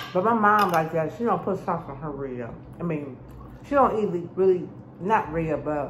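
The pace is moderate. There is light background noise. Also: woman, fairly low pitch for a woman. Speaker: food vlogger. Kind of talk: casual mukbang vlog chat. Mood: relaxed, chatty. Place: kitchen. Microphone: phone near.

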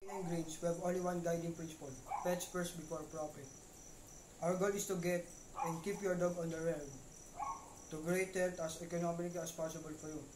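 Noticeable background noise sits behind a man with a high pitch for a male. His flat, monotone speech runs at a fairly quick pace, broken by long, frequent pauses. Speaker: infomercial presenter. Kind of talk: infomercial read. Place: home room. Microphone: webcam.

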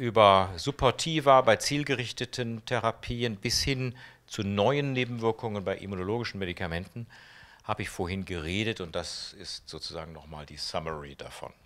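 This man's medium-pitched voice moves at a moderate pace, with very wide pitch swings and big swings in loudness. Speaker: oncologist; interviewee. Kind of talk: interview. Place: hall. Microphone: handheld.

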